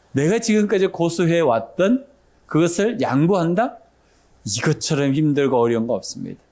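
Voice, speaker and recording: On a very clean recording with a silent background, a man with a high pitch and a dark, mellow tone speaks at a moderate pace with very wide pitch swings. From Daegu, Gyeongsang, South Korea. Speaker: pastor. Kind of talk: sermon.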